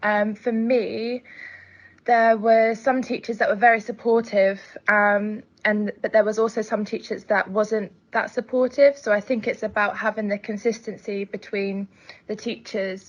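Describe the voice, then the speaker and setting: Over a quiet background, a woman with an English accent speaks at a moderate pace in a fairly high pitch, her intonation monotone and flat. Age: 20s. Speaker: care leaver and student. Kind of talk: testimony. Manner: halting, with many fillers.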